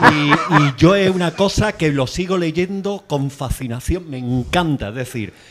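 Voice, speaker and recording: A man's speech shows ordinary pitch variation, and noticeable noise can be heard behind him. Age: 60s. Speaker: audience member. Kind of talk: audience comment at book talk. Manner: halting.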